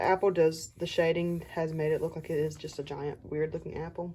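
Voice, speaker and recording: A somewhat breathy woman with a fairly low pitch and a dark, mellow tone speaks at a moderate pace in a monotone, flat intonation. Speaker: artist showing sketchbooks. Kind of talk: casual sketchbook tour narration. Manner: casual, conversational.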